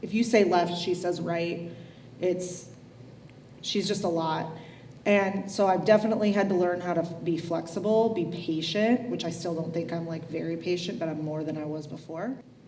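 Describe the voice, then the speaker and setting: Fairly even intonation comes at a moderate pace, with audible room echo and noticeable background noise. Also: woman, fairly low pitch for a woman. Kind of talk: casual panel conversation. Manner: loud.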